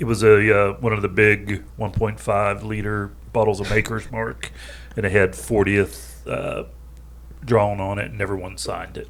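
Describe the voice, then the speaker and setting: With a slight Southern US accent, a man speaks at a fairly low pitch with lively intonation. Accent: slight Southern drawl picked up. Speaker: podcast co-host, real estate agent. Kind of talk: casual chat.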